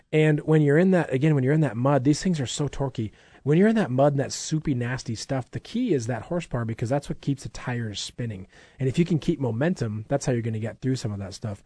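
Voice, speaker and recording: A man with an American accent talks at a very fast pace in a somewhat breathy, dark, mellow voice of medium pitch, with lively intonation over a quiet background. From Minnesota. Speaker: radio show host for an outdoor supply store. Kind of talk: casual promotional radio chat.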